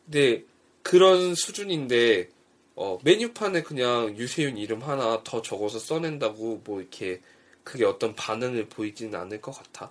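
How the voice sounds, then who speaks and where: At a moderate pace, a man with a plain, everyday voice and medium pitch talks with lively intonation and big swings in loudness. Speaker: podcast co-host. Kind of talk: casual chat. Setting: home recording.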